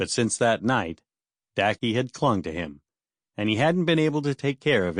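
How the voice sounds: The background stays quiet. A natural reading voice carries lively intonation.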